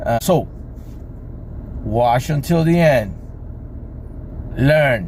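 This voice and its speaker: Very slowly and with long, frequent pauses, a man speaks at medium pitch with ordinary pitch variation and very even loudness over noticeable background noise. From Cuba. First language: Spanish. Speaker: boat mechanic. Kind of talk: tutorial. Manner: halting.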